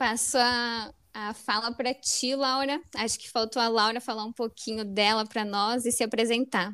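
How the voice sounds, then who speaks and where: A woman speaks at a moderate pace in a fairly high, bright and sharp voice, her intonation flat and monotone while her loudness swings widely, all on a very clean recording with a silent background. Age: 20s. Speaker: podcast co-host, astrologer, environmental engineer. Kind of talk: casual chat.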